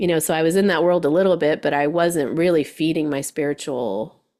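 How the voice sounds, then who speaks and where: A woman speaks with a very deep, low pitch, vocal fry and lively intonation. The recording is very clean, with a silent background. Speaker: hypnotherapist and life coach. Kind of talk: casual chat. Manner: loud; animated.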